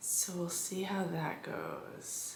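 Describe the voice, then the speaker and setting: The recording of a woman has noticeable background noise and audible room echo. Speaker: quilting vlogger. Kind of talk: casual vlog.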